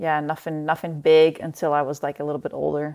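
A woman with a Dutch accent speaks in a very deep, low pitch and a monotone, flat intonation, on a very clean recording with a silent background. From Netherlands. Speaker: professional mountain bike racer. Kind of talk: interview.

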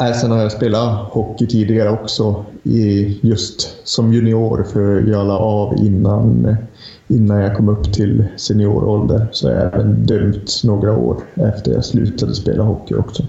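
A man with a northern Swedish accent, fairly slow pace, fairly even intonation and very even loudness. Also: fairly low pitch for a man. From Lapland, northern Sweden. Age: 30s. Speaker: hockey journalist. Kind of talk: casual chat.

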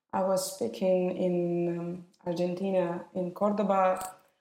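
In a Russian accent, a woman speaks at a very slow pace with a dark, mellow tone. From Russia, Moscow. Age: 30s. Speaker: wedding photographer. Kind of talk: interview.

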